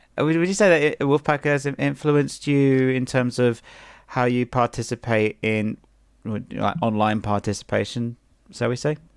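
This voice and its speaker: Recorded very cleanly against a silent background, with a dry, close sound and no echo, the speaker talks at a moderate pace in a British accent with ordinary pitch variation. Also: man, medium pitch for a man. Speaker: streamer hosting a retrospective. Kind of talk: casual chat. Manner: halting.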